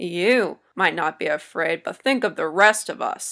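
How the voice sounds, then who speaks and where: Using a growling put-on character voice, a woman of medium pitch speaks at a moderate pace with lively intonation. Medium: read story.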